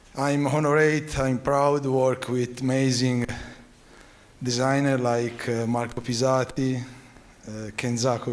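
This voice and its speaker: A man's medium-pitched voice with an Italian accent, monotone and flat, at a very slow pace, with noticeable background noise and audible room echo. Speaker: family business owner. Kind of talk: speech. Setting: stage with audience. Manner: halting.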